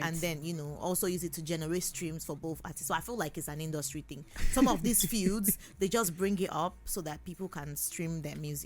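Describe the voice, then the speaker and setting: With a Nigerian accent, a woman speaks at a fairly quick pace in a fairly low-pitched voice with vocal fry and ordinary pitch variation. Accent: Igbo Nigerian. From Nigeria, Igbo southeast. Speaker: singer. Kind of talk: interview answer.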